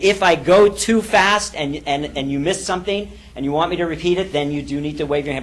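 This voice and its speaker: Amid noticeable background noise and audible room echo, a man with a fairly high pitch talks at a fairly quick pace with ordinary pitch variation. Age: 50s. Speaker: business coach and seminar leader. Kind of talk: seminar talk. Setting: stage with audience. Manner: fast.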